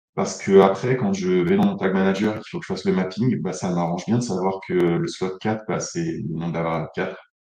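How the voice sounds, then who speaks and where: A man speaks with a very deep, low pitch and a dark, mellow tone, with hardly any pauses. His intonation is fairly even, and room echo is audible. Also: fairly quick pace. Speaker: analytics consultant, conference speaker. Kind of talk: conference talk. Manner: hesitant, many fillers.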